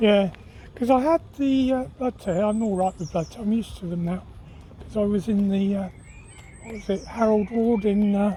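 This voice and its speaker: With noticeable background noise, a man with an English accent speaks at a high pitch and moderate pace, with ordinary pitch variation. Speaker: vlogger. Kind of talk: casual chat; cooking vlog narration. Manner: halting.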